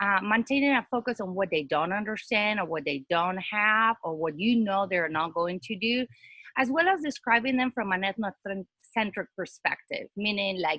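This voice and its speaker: A bright, sharp tone with a non-native accent moves at a moderate pace in lively intonation, in a dry, close sound with no echo. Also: woman, medium pitch for a woman. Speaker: academic panelist. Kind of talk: presentation with slides.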